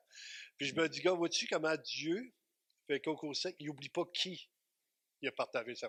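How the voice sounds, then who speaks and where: A man's high-pitched voice at a fairly slow pace, with ordinary pitch variation, big swings in loudness and long, frequent pauses, on a very clean recording with a silent background. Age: 60s. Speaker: pastor. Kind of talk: sermon. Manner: animated.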